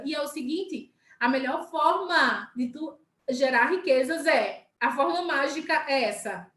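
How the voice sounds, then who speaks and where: A woman with ordinary pitch variation at a fairly slow pace, with music in the background. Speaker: sales team leader. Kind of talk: live stream talk. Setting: live video stream.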